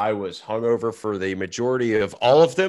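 A man with an unremarkable speaking voice speaks at a medium pitch and moderate pace over a quiet background. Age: 30s. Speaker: golf podcast co-host, pro golfer. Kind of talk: casual chat.

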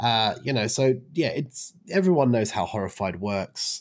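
In a very clean recording with a silent background, a man with an Australian accent speaks at a moderate pace. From Brisbane, Australia. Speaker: podcast co-host, event organizer. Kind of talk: casual chat.

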